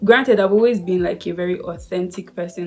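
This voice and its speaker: A woman's fairly quick voice with fairly even intonation over music in the background. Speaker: lifestyle YouTuber. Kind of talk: casual vlog talk. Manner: fast; sped-up playback.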